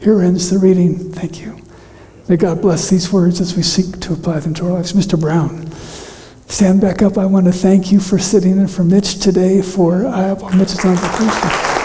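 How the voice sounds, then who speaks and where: A man's high-pitched voice with monotone, flat intonation over noticeable background noise. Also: moderate pace. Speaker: pastor. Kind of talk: sermon. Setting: church. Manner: soft-spoken, careful not to strain voice.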